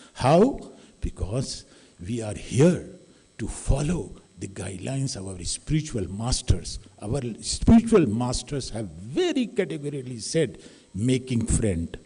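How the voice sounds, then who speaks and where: His dark, mellow voice is somewhat breathy, and this man's pitch swings very widely while his loudness shifts a great deal. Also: medium pitch for a man, fairly slow pace. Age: 60s. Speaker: academic audience member giving remarks. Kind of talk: public address at a talk.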